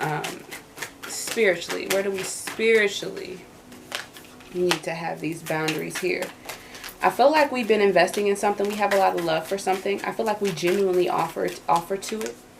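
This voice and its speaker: Amid noticeable background noise, a woman of medium pitch talks at a fairly quick pace with ordinary pitch variation and long, frequent pauses. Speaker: tarot reader. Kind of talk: tarot reading. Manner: halting with repetitions.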